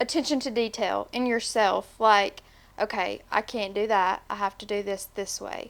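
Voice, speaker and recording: In a very clean recording with a silent background, a woman with a Tennessee accent talks at a moderate pace, her fairly high pitch held in fairly even intonation. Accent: Southern US (Tennessee). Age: 20s. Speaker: podcast guest, manager. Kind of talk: casual interview.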